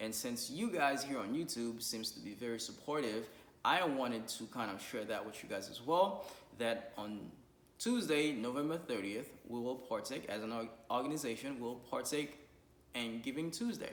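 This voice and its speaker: Audible room echo surrounds a man's voice. He speaks at medium pitch with ordinary pitch variation. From Haiti. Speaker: YouTuber and nonprofit co-founder. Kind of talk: vlog appeal to viewers. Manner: fast.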